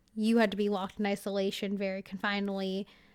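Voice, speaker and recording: In an American accent, the woman talks with a medium-pitched voice. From California. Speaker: podcaster. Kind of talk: casual interview chat. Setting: remote call.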